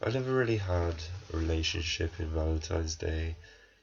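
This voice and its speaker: A man speaks with a very deep, low pitch and a somewhat breathy quality. His pace is moderate. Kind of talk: casual talk to camera, film review rant.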